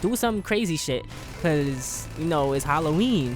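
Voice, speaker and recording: Music plays in the background as a man talks with an American accent and lively intonation. His pitch is fairly high, and room echo is audible. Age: 20s. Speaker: gaming YouTuber. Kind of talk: casual storytelling. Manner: animated.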